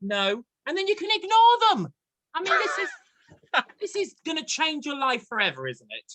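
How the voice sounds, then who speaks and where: Using a raised, projected voice with a bright, sharp tone, a man speaks at an extremely high pitch with very wide pitch swings and long, frequent pauses. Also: moderate pace. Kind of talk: casual interview host talk.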